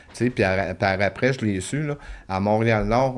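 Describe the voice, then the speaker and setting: This is a man speaking. He has a Quebec accent. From Quebec (La Tuque). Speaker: former inmate; podcast guest. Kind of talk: testimony. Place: studio. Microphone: studio mic.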